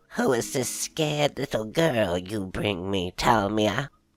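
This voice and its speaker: A put-on character voice with a low pitch at a fairly slow pace. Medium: read story. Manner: haughty, predatory.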